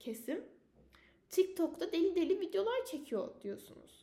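A woman talks with lively intonation. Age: 20s. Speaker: university student podcaster. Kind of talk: solo personal podcast monologue.

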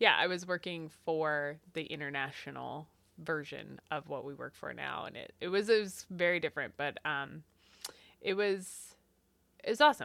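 A woman with a Pacific Northwest accent at a moderate pace, her loudness swinging widely, on a very clean recording with a silent background. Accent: Pacific Northwest American. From Eastern Washington. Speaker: podcast co-host. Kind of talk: casual chat.

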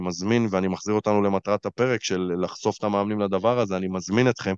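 Against a quiet background, a man with a normal speaking voice talks at a moderate pace in a fairly low pitch with fairly even intonation, the sound dry and close with no echo. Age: 30s. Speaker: life coach and podcast host. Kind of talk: casual chat.

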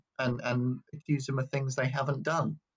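Using a medium pitch, a man speaks with little pitch movement.

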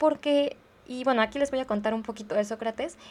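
Over a very clean recording with a silent background, a woman speaks at a moderate pace. Her pitch is high, in a Mexican accent. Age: 20s. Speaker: podcast host, philosophy student. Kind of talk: casual monologue. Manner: conversational, with frequent fillers.

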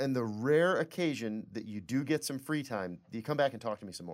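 On a very clean recording with a silent background, a man with an American accent speaks at a moderate pace and a fairly high pitch. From Michigan, US. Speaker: podcast host and pain researcher. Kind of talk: casual interview.

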